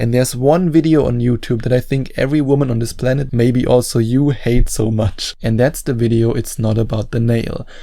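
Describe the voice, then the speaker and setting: Speaking at a fairly quick pace with a non-native accent, the voice has a dark, mellow tone and fairly even intonation. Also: man, medium pitch for a man. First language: not English. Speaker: dating coach YouTuber. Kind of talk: advice talk to camera.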